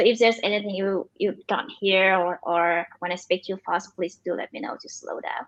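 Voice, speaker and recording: Big swings in loudness and hardly any pauses, with ordinary pitch variation in a Vietnamese accent. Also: woman, medium pitch for a woman. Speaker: machine learning engineer and startup founder. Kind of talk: interview. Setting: livestream. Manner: fast; halting.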